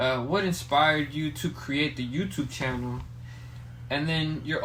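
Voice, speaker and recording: Audible room echo surrounds a man speaking with a Spanish accent and fairly even intonation. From Mexico. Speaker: podcast host. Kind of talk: casual chat.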